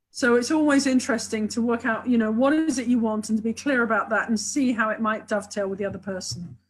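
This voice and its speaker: Speaking very fast with hardly any pauses, a woman with a British accent has a fairly high pitch, a somewhat breathy voice, and ordinary pitch variation. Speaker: sex and relationship therapist, author. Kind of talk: webinar interview. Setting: online video webinar. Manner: enthusiastic, talks a lot.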